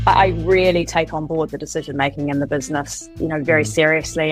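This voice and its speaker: In a New Zealand accent, a woman speaks at a fairly quick pace with music in the background. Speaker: co-founder and CEO of a coffee and restaurant company. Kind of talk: interview answer.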